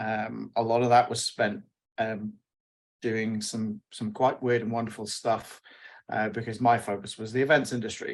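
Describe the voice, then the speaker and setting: The speaker has a British accent and a moderate pace. The intonation is flat and monotone. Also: man, medium pitch for a man. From UK. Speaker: wireless network engineer. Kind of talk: panel webinar.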